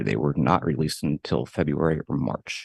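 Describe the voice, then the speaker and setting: Soft-spoken, a man with a very deep, low pitch and vocal fry talks at a fairly quick pace, the sound dry and close with no echo over a quiet background. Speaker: school district auditor. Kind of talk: formal presentation. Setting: board meeting.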